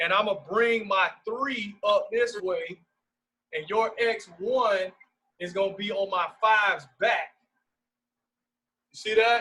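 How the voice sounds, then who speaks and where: Speaking very slowly with long, frequent pauses, a man uses a raised, projected voice that is high-pitched, bright and sharp in tone, with fairly even intonation. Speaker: basketball coach. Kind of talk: coaching clinic on video call.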